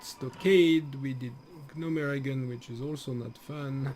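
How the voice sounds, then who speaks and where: Pitch varies in an ordinary way as the speaker talks at a fairly slow pace. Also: man. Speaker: gaming streamer. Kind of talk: live stream gameplay commentary. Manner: casual, halting with fillers.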